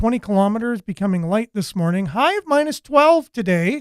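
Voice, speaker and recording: A loud man talks at a moderate pace in a dry, close sound with no echo. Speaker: local news show host. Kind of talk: news and views talk show. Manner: voice rises when excited.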